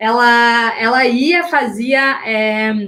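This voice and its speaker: A woman speaks loudly at a high pitch. Her tone is animated. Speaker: image and style coach. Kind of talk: live online class. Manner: loud, uneven volume.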